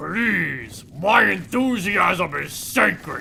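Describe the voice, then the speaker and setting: A man uses a put-on character voice, raspy and high-pitched for a man. He speaks very slowly over clear background noise. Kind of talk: comedic let's play commentary in character. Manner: over-the-top, enthusiastic.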